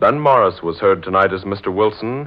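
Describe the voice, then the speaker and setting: A man's pitch varies in an ordinary way as he talks at a fairly slow pace. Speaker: radio announcer. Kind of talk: 1940s radio announcer sign-off, formal. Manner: formal, announcer delivery, clear. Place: studio. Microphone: old recording.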